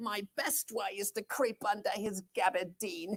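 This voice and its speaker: A female-sounding put-on character voice with a medium pitch delivers its lines at a fairly slow pace. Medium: stage play. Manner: fearful, comic.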